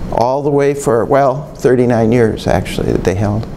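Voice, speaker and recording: A man talks at a moderate pace with ordinary pitch variation. Noticeable background noise and audible room echo fill the recording. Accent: Upper Midwest. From Michigan (Bay City). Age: 60s. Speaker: retired museum curator. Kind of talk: oral history interview. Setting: museum.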